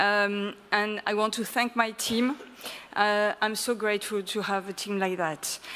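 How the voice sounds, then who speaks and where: A fairly high-pitched woman with a French accent and fairly even intonation, in a very clean recording with a silent background. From France. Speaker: early childhood association representative. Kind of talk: conference presentation. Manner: hesitant, many fillers.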